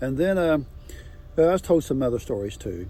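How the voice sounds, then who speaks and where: A man at a fairly quick pace. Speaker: local landowner. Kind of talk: storytelling. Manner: fast; halting.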